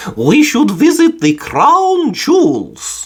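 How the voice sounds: Slow and drawn out, a man puts on a character voice pitched extremely high, with a slightly husky edge and very wide pitch swings.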